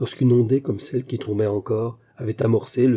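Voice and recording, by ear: The voice is reading aloud in a natural voice. Its intonation is fairly even.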